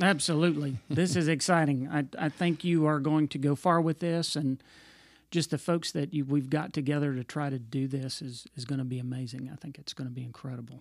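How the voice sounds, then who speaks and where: A man with a fairly high pitch talks at a fairly quick pace with fairly even intonation, in a very clean recording with a silent background. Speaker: podcast co-host and musician. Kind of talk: casual chat.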